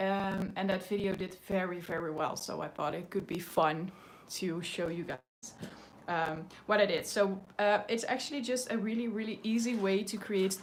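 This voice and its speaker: A woman's medium-pitched voice with ordinary pitch variation and a Dutch accent. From Netherlands. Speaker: mixed media artist. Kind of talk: live stream art tutorial. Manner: hesitant, many fillers; slow.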